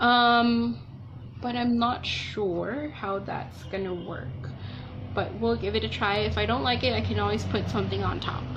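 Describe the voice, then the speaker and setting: Very slow speech from a woman, audible room echo around it. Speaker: beauty vlogger. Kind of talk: casual makeup tutorial chat. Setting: at home alone. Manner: quiet, soft-spoken.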